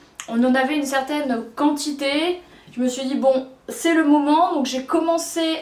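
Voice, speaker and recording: Fairly slow speech from a woman, audible room echo around it. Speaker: book reviewer. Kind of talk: casual vlog chat. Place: home room.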